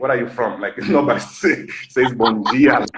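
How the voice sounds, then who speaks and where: A bright, sharp tone with a Brazilian Portuguese accent. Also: man. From Angola. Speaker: live stream host. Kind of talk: casual chat.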